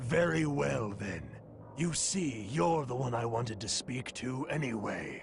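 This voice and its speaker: A raspy, cartoonish character voice from a man, medium in pitch and fairly slow, with clear background noise. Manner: smooth, condescending, persuasive.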